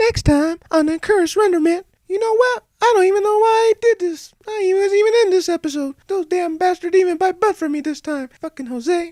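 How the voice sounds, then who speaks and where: A put-on character voice squeaks at an extremely high pitch. It rushes at a fairly quick pace with hardly any pauses. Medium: cartoon.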